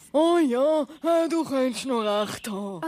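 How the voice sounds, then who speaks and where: A cartoonish character voice, high in pitch, talks at a fairly slow pace. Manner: hesitant, stammering.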